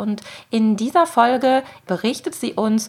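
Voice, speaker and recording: Noticeable background noise accompanies a woman whose voice sits fairly high. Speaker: podcast host. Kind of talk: scripted narration.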